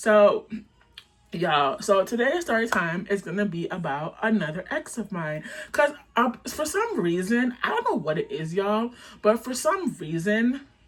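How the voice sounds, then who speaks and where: A woman with a fairly high voice speaks at a moderate pace, her pitch swinging very widely. Noticeable background noise sits behind her. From Canada, Jamaican family. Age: 20s. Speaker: content creator. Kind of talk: storytime vlog. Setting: dim room, on camera. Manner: animated, casual.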